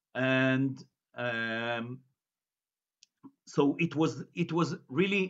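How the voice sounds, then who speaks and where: Lively intonation marks a man's medium-pitched voice with an Israeli accent. He goes at a very slow pace with long, frequent pauses. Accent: Israeli Hebrew. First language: Hebrew. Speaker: journalist and researcher giving a lecture. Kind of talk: lecture. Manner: halting, many fillers and repetitions.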